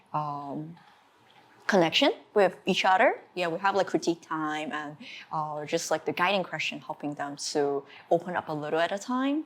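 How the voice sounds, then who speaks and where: In a Chinese accent, a woman speaks at a very deep, low pitch. She keeps a moderate pace with ordinary pitch variation. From China. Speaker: art teacher. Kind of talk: interview. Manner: halting.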